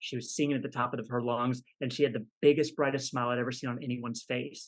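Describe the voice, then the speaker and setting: A man with a Texan accent talks at a very fast pace. His pitch is medium and his intonation fairly even. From Texas, Dallas area. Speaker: professional illusionist. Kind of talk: interview testimony.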